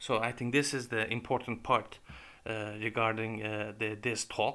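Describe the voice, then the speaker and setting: In a Turkish accent, the speaker delivers a bright, sharp tone with monotone, flat intonation at a fairly slow pace. The recording is very clean, with a silent background. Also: man, medium pitch for a man. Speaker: YouTuber presenting academic work. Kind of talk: lecture. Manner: halting.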